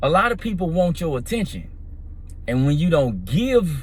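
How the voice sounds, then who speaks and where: With very wide pitch swings, a man speaks at a moderate pace amid audible room echo. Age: 50s. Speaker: vlogger. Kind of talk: casual monologue.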